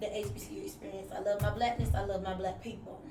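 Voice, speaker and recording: Amid noticeable background noise and audible room echo, a woman talks at a very fast pace with fairly even intonation. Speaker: podcast panel guest. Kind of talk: casual panel discussion. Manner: loud, outspoken.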